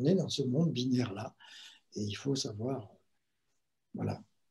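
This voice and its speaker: A man's dark, mellow tone rides on very wide pitch swings. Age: 70s. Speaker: meditation teacher and writer. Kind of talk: talk on meditation. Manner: hesitant, with fillers.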